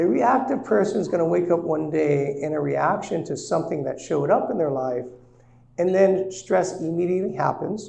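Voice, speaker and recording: Amid audible room echo, a man with a high pitch and a dark, mellow tone uses lively intonation at a moderate pace. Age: 60s. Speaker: senior living and real estate seminar presenter. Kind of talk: seminar presentation. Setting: live seminar with audience.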